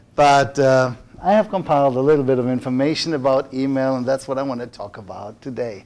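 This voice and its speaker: A man in a German accent talks at a fairly quick pace and medium pitch. His loudness swings widely, and his pitch moves in an ordinary way. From Germany. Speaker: workshop presenter. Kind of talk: lecture. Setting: room with audience. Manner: hesitant, many fillers.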